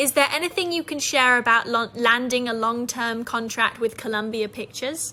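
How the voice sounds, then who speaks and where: A woman with a British accent talks at a moderate pace. Her pitch is high with ordinary variation, and there is noticeable background noise. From Britain. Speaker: actress. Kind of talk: interview questions.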